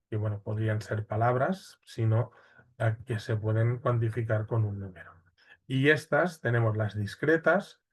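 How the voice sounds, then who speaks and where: Against a quiet background, a man speaks fairly slowly in a somewhat breathy voice with ordinary pitch variation. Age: 40s. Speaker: university lecturer. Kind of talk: lecture. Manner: hesitant, many fillers.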